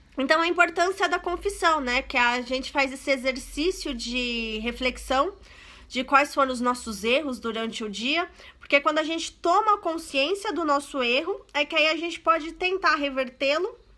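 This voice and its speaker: Projecting a raised voice, a woman speaks at a moderate pace with a high pitch and a bright, sharp tone. Her delivery is animated, with lively intonation. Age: 30s. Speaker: online religious presenter. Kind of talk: live stream prayer talk. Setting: live stream from home.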